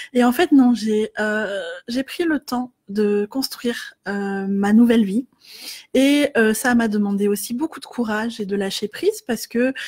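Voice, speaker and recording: A woman's fairly high voice at a fairly slow pace, ordinary pitch variation, dry, close sound with no echo. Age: 30s. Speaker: life coach. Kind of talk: facebook live talk. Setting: live video stream. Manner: hesitant, many filler words.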